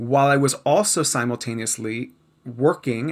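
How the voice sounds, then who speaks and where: A man speaks at a medium pitch with vocal fry and an animated tone. His pitch varies in an ordinary way. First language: Spanish. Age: 40s. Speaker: speaking coach and former actor. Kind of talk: casual interview.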